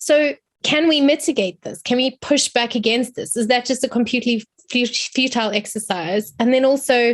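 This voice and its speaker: A woman with a South African accent speaks at a high pitch. Her pace is moderate and her pitch variation ordinary. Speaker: academic. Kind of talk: seminar question.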